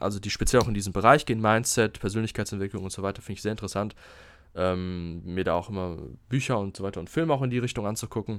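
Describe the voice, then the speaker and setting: In a very clean recording with a silent background, a man speaks very fast in a fairly low pitch with ordinary pitch variation. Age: 20s. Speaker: podcast host, health management student. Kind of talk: solo podcast monologue. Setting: alone in his room. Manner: halting, many fillers.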